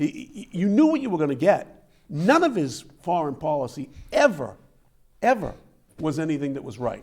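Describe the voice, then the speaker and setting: Speaking at a moderate pace, a man sounds animated, his pitch swinging very widely. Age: 70s. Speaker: talk show host. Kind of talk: political talk show chat. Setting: TV studio.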